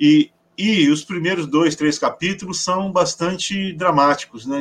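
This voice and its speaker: A man talks at a fairly slow pace in a high voice. His pitch moves with ordinary variation. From Paraná, southern Brazil. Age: 50s. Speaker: educator and writer. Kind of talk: interview.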